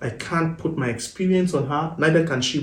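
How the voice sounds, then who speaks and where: At a moderate pace, a man talks at a fairly high pitch with audible room echo. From Nigeria. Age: 30s. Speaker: married guest sharing relationship experience. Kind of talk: podcast interview.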